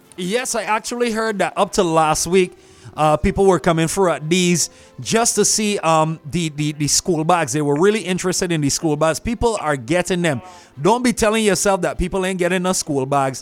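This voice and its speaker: Music plays in the background as a man speaks at a moderate pace. His pitch is high, with ordinary pitch variation. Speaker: radio host. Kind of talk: radio host, upbeat chat and sponsor plug. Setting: radio studio. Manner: friendly, upbeat, jovial.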